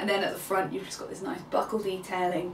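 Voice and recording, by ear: Medium pitch from a woman, with audible room echo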